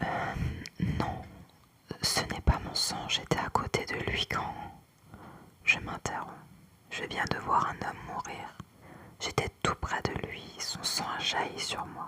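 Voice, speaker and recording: A woman whispers at a very slow pace with long, frequent pauses. Noticeable background noise is present. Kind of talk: whispered book reading, ASMR. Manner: whispered.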